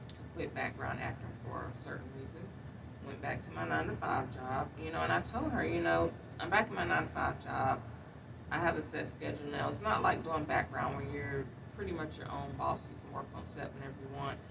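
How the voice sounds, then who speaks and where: Big swings in loudness and very wide pitch swings at a fairly quick pace, with an American accent, against noticeable background noise and audible room echo. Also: woman, very deep, low pitch for a woman. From North Carolina. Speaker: vlogger. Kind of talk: video diary monologue. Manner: casual, conversational.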